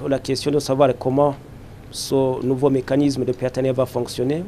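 A man's dark, mellow voice at a fairly slow pace, over light background noise. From Burundi. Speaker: politician. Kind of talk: press statement. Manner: formal; hesitant with fillers. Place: hall. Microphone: handheld.

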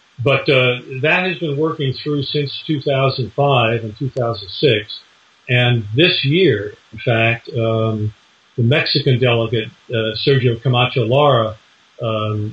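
Ordinary pitch variation from a man speaking at a very slow pace. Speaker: interviewee. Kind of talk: interview answer. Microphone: video call.

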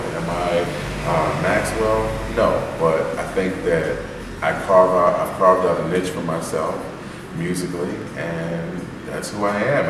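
A man talks at a fairly slow pace over noticeable background noise, with audible room echo. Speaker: soul singer. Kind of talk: interview answer. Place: hall. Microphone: camera far.

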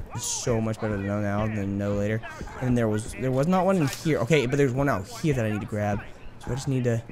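A man at medium pitch speaks at a very fast pace with ordinary pitch variation, with audible room echo and noticeable background noise. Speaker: gaming YouTuber. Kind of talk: let's play commentary. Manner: animated.

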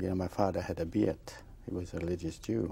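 This man's voice is very deep and low, with a dark, mellow tone. He sounds somewhat breathy and has a Polish accent. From Poland (Bochnia, near Krakow). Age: 60s. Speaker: Holocaust survivor. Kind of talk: testimony. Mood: somber, reflective. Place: studio. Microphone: lapel.

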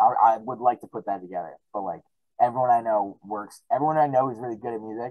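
Over a quiet background, a man talks very fast with ordinary pitch variation and big swings in loudness, in a dry sound with no echo. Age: 20s. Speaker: musician; podcast guest. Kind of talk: casual chat. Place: home room.

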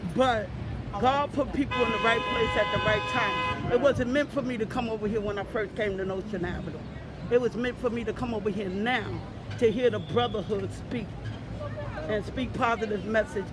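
A man speaks at a moderate pace. The sound is dry with no echo, with noticeable background noise. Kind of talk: interview answer. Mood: earnest, heartfelt. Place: street. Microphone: phone near.

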